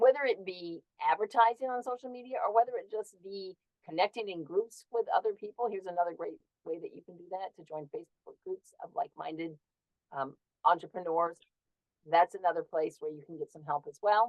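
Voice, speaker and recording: This woman has an ordinary speaking voice at a medium pitch. She talks fairly quickly with lively intonation and big swings in loudness. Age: 60s. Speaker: herbal wellness entrepreneur. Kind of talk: interview.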